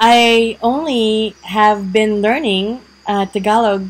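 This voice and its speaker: A woman speaks with a Visayan Filipino accent and fairly even intonation. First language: Bisaya (Cebuano). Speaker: vlogger. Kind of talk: casual vlog talk. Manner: many fillers (um, uh, like).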